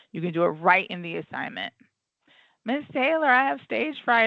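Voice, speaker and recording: A woman talks with very wide pitch swings. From US South, Florida. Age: 50s. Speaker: teacher. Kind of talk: online class lecture. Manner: fast.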